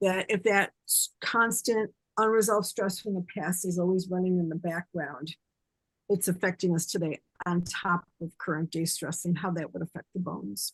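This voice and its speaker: Somewhat breathy woman's voice at medium pitch, fairly even in intonation, dry and close with no echo. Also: moderate pace, quiet background. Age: 60s. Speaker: colon hydrotherapist, webinar attendee asking a question. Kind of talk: live Q&A on a webinar.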